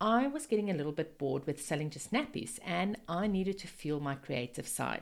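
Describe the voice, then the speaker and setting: A woman with a South African accent, warm and enthusiastic in tone, at a moderate pace. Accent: Afrikaans-accented English. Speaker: network marketing business coach. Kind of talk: podcast monologue, business talk. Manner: warm, enthusiastic.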